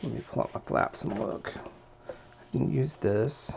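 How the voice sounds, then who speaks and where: A man mumbles at a moderate pace. Noticeable background noise sits behind him. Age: 40s. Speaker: crafting video maker. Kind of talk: tutorial. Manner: mumbling; casual, thinking aloud.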